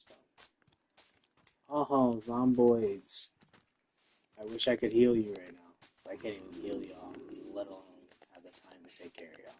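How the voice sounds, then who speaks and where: Soft-spoken, a man with a medium pitch and a dark, mellow tone talks at a moderate pace with ordinary pitch variation and long, frequent pauses. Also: big swings in loudness. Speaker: gaming streamer. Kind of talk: casual gameplay livestream commentary.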